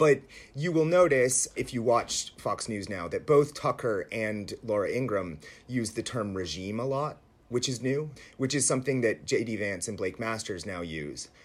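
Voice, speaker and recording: Using an unremarkable speaking voice, a man speaks at a medium pitch and a moderate pace with lively intonation. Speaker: writer. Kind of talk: interview conversation. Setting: remote interview from home.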